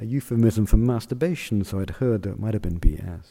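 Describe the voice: The delivery is plain reading aloud.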